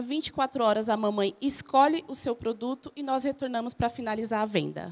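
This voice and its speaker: A woman's high-pitched voice with lively intonation, on a very clean recording against a silent background. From Brazil, São Paulo area (Guarulhos). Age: 40s. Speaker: small business owner, reality show contestant. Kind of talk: self-introduction pitch.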